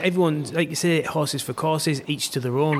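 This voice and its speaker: A man with a fairly high pitch and fairly even intonation talks while noticeable background noise carries on. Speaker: podcast host. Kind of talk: casual interview chat. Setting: remote call.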